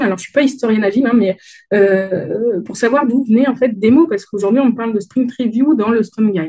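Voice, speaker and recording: Her voice is fairly high in pitch and somewhat breathy, with a dark, mellow tone. She uses ordinary pitch variation. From France, Dauphiné region. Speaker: agile conference speaker. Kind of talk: conference talk. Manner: hesitant, many fillers.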